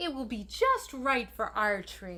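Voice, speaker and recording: A woman does a put-on character voice at a fairly slow pace. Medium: read story. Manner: eager, breathless.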